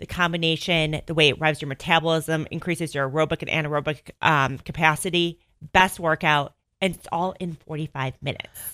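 A woman speaks with a slight Chicago accent. Her pitch is very deep and low, and her tone is bright and sharp. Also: fairly quick pace, big swings in loudness, very clean recording, silent background. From northern Illinois, near Chicago. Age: 30s. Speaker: fitness studio owner. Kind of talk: casual radio interview. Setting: radio studio. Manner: animated, chatty.

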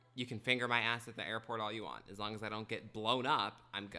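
A man with an ordinary speaking voice of medium pitch talks at a fairly quick pace with fairly even intonation. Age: 20s. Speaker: podcast co-host. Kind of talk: casual chat. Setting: kitchen table.

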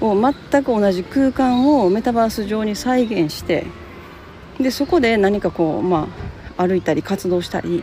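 A dark, mellow, somewhat breathy tone at a fairly slow pace. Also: woman, fairly high pitch for a woman. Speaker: podcast host. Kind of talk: casual solo talk. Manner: relaxed, many fillers.

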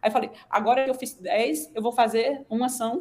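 A woman has a plain, everyday voice. Her pitch is fairly high, with ordinary variation. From Northeast Brazil (Sergipe/Alagoas). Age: 40s. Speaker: physician, nutrition specialist. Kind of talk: casual interview.

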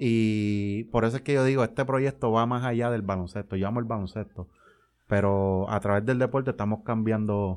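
A man's ordinary speaking voice, an ordinary speaking voice of medium pitch with fairly even intonation, at a moderate pace over a quiet background. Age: 20s. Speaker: community sports league organizer. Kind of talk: interview.

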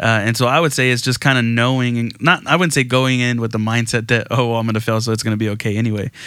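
Talking at a very fast pace, a man with an American accent has a bright, sharp tone and fairly even intonation. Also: medium pitch for a man. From Texas Gulf Coast. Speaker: pastor. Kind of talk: casual interview.

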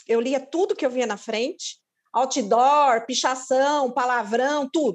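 With ordinary pitch variation, a woman's voice rides high in pitch. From São Paulo, Brazil. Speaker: lawyer. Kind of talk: casual chat.

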